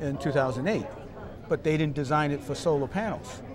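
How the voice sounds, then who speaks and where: A man talks with a Boston accent over noticeable background noise, with audible room echo. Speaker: school superintendent. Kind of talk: interview. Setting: conference summit event.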